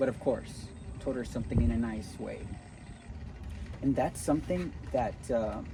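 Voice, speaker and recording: A man at a medium pitch and moderate pace, with lively intonation, a slight Cuban accent, long, frequent pauses, audible room echo and noticeable background noise. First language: Spanish. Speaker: spiritual motivational vlogger. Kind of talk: casual motivational talk to camera. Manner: animated.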